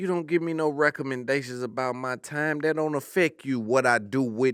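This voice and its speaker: A man's animated, medium-pitched voice with an American accent at a moderate pace, on a very clean recording with a silent background. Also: ordinary pitch variation. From US South. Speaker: comedian. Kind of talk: casual chat.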